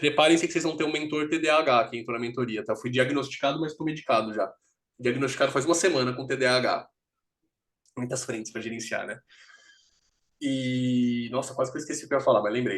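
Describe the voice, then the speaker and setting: A man with a medium-pitched voice talks at a very fast pace, broken by long, frequent pauses. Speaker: career mentor and investment educator. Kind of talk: live mentoring session. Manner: animated, halting repetitions.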